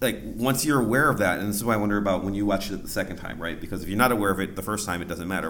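Fairly low male voice with audible room echo. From Ohio, US (Lorain). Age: 40s. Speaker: PhD student and podcast host. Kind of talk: live panel discussion. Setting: stage with audience.

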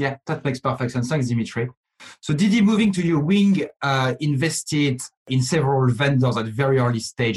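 The man's voice sits at a medium pitch. It comes out somewhat breathy. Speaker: podcast host and company CEO. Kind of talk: panel moderation.

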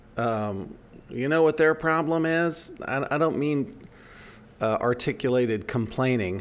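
A normal speaking voice with an American accent and lively intonation. The pace is fairly slow. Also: man, fairly high pitch for a man. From United States. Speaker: podcast co-host. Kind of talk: casual chat; storytelling.

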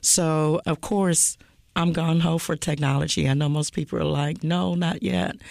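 A woman at a moderate pace, her loudness very even, in a very clean recording with a silent background. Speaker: school board president.

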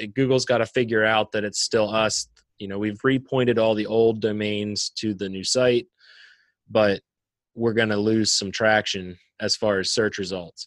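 A man with a plain, everyday voice talks at a moderate pace, fairly low in pitch, with fairly even intonation. The sound is dry and close with no echo, over a quiet background. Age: 20s. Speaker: podcast co-host, business owner. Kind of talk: casual chat.

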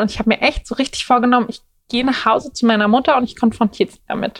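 The speech comes at a very fast pace. Pitch variation is ordinary. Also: woman. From Berlin, Germany. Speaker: plus-size model. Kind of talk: casual interview chat.

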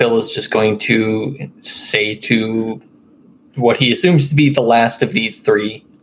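Noticeable background noise behind a man speaking with ordinary pitch variation. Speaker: tabletop RPG player. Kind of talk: casual tabletop game chat.

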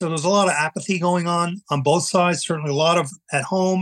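A man talks very fast with a Long Island accent. His voice is high. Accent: Long Island New York. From US Northeast, eastern Long Island, New York. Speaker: Vietnam veteran and painter. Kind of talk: personal testimony in interview. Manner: halting, many repetitions and fillers.

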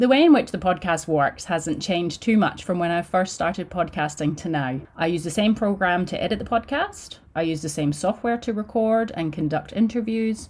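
Delivered at a moderate pace with hardly any pauses, this is an ordinary speaking voice. The recording is very clean, with a silent background. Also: woman, medium pitch for a woman. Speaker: podcast host. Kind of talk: podcast intro and solo monologue.

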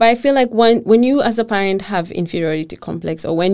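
Speaking at a fairly quick pace with a Kenyan accent, a woman uses ordinary pitch variation in a very clean recording with a silent background. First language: Kikuyu. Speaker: blogger and mom living in Denmark. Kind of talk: casual interview chat.

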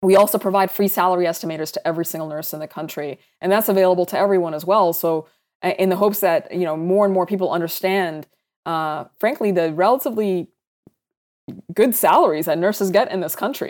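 In an American accent, the speaker goes at a very fast pace with ordinary pitch variation on a very clean recording with a silent background. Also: woman, medium pitch for a woman. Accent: American-sounding from international school. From Saudi Arabia (Sudanese family), American international school. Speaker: startup founder and CEO, physician. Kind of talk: interview.

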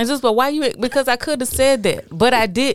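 A woman's animated tone at a moderate pace. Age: 30s. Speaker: podcast co-host. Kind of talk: casual chat.

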